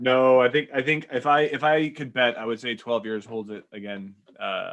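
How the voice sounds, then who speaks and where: A man's medium-pitched voice with big swings in loudness and ordinary pitch variation. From Canada, Portuguese-speaking household. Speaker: musician. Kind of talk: casual chat. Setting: live stream. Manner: fast.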